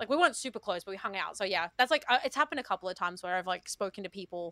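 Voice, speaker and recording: A woman with an Australian accent, medium in pitch, bright and sharp in tone, very fast, with lively intonation and a dry, close sound with no echo on a very clean recording against a silent background. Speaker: VTuber and streamer. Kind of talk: casual chat.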